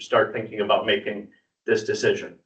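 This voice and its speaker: There is audible room echo as a man speaks. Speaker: university extension economic development specialist. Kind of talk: presentation to city council. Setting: council chamber, public meeting. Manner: halting, many repetitions and fillers.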